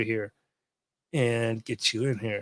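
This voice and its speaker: The recording of this man is very clean, with total silence in the background. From Louisiana. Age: 60s. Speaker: army veteran, advocate for veterans. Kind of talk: livestream talk to viewers. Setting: hospital.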